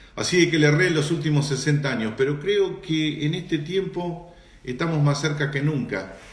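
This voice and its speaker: At a moderate pace, a man talks in a fairly high voice with ordinary pitch variation and audible room echo. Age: 60s. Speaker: pastor. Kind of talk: live-stream Q&A and greetings with church audience. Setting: Instagram live broadcast.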